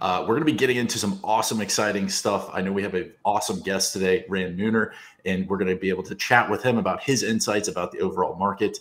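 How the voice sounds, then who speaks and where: A man at a very fast pace, fairly low in pitch. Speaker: show host. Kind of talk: livestream show intro.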